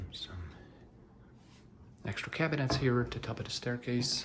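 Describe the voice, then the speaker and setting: A soft-spoken man at medium pitch, moderate pace and lively intonation. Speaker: real estate agent giving virtual house tours. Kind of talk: ASMR house tour narration.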